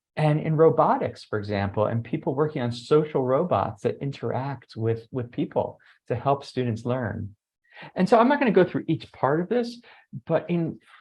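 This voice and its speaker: A man's somewhat breathy voice sits at a fairly high pitch and makes very wide pitch swings. He talks at a moderate pace. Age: 60s. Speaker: education researcher. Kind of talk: webinar presentation. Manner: conversational, some filler hesitations.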